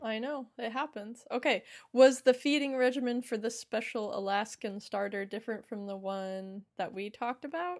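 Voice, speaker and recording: A normal speaking voice from a woman at fairly high pitch and moderate pace, with ordinary pitch variation, hardly any pauses and big swings in loudness, comes through a very clean recording with a silent background. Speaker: podcast co-host. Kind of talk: casual chat.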